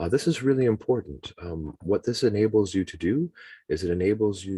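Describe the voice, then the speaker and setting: A man's dark, mellow voice with a Canadian accent, fairly low in pitch, over a quiet background. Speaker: webinar presenter, teacher trainer. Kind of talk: tutorial. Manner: fast. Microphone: choppy audio, poor internet connection.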